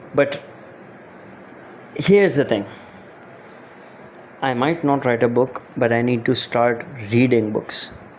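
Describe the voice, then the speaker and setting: A man with a non-native accent at a medium pitch, fairly slow pace, long, frequent pauses and ordinary pitch variation, over noticeable background noise. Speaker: podcast host, writer. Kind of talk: solo podcast monologue. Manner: casual, hesitant with fillers.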